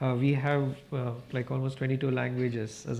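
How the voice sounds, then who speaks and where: A man with a Kannada accent speaks at a fairly quick pace. His pitch is medium and his intonation monotone and flat. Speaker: newsroom director. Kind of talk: panel discussion.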